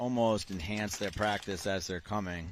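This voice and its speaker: With a Boston accent, a man speaks in a fairly low voice at a moderate pace. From Boston, US Northeast. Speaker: paintball commentator. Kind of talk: live commentary.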